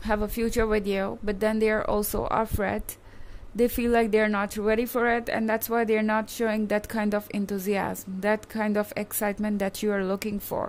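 At a moderate pace, a woman speaks in flat, monotone intonation with very even loudness. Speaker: tarot reader. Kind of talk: tarot reading commentary. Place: home room. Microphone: phone near.

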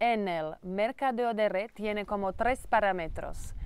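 A woman with a Slovak accent and a fairly high pitch, at a very slow pace, in a dry sound with no echo. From Slovakia. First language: Slovak (speaking Spanish). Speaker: network marketing entrepreneur; presenter. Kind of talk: sales pitch. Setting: training farm in Mallorca. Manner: halting. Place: garden.

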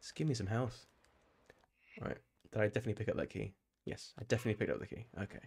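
A man with a British accent speaks very fast at a fairly low pitch, somewhat breathy, with long, frequent pauses. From UK. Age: 30s. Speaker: gaming streamer. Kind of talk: live gameplay commentary. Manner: animated. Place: home room. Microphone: studio mic.

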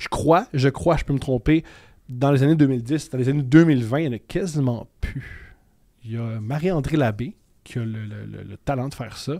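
The man's medium-pitched voice has a dark, mellow tone and big swings in loudness over a quiet background. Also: ordinary pitch variation, moderate pace. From Quebec, Montreal. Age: 30s. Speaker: comedian. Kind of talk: casual chat. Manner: loud, intense. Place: studio. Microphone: studio mic.

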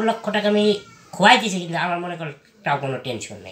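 A man speaks with a high pitch. The room echo is audible. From Faridpur, Bangladesh; Bangladesh. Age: 30s. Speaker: interviewee. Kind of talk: interview, life story. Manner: halting. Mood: calm, matter-of-fact. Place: home room. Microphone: phone near.

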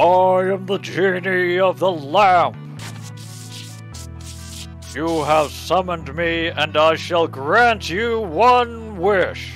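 With clear music in the background, a man uses a put-on character voice at a high pitch and a very slow pace. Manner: grand, commanding.

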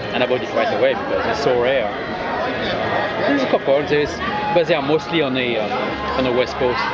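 The speaker has a French accent and a fairly quick pace, broken by long, frequent pauses. Loud background noise runs underneath. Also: man. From France. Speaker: clock repair business owner. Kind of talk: interview answer. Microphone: phone near.

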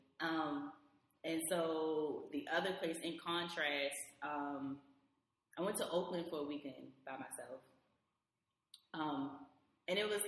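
A woman with a fairly low voice speaks at a fairly slow pace, with long, frequent pauses. Audible room echo surrounds her. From Baltimore, Maryland. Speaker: IT support worker and traveler. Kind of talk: casual chat.

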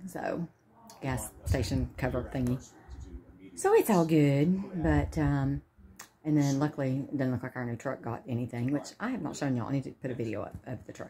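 Speaking in a Southern US accent, a woman talks at a fairly quick pace in a very deep, low pitch. Noticeable background noise sits behind her. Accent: US South. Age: 40s. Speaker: vlogger with brain cancer; vlogger. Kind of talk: casual vlog. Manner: chatty, rambling with fillers. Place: home room. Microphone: phone near.

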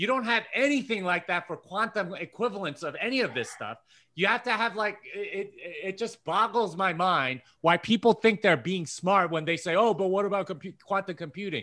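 Over a quiet background, a man projects a raised voice that is high-pitched, bright and sharp, at a moderate pace with ordinary pitch variation. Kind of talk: casual chat. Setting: video call. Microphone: video call.

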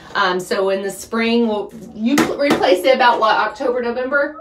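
A woman speaks at a fairly high pitch with ordinary pitch variation, and audible room echo surrounds her.

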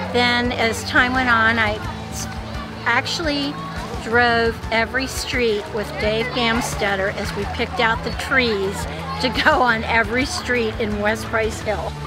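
A woman at a fairly slow pace, with a dry sound with no echo and clear music in the background. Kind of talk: interview answer. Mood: warm, fond reminiscing. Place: waterside.

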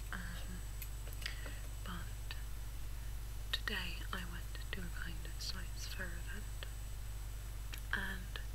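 Loud background noise accompanies a dry sound with no echo. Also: woman. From England. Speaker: ASMR video maker. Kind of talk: ASMR soft-spoken unboxing.

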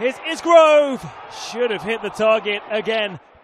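A man speaks at a high pitch with lively intonation. Noticeable background noise sits under his voice. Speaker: football match commentator. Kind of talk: live sports commentary on a football match, highlights voiceover.

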